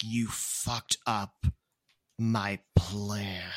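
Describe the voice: This put-on character voice is low-pitched, gravelly and raspy. It delivers everything in a monotone, flat intonation.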